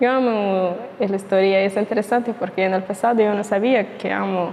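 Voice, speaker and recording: Moderate-paced speech from a woman at medium pitch, fairly even in intonation, over noticeable background noise. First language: not Spanish; learner (speaking Spanish). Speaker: YouTuber. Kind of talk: casual vlog monologue. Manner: halting, with fillers.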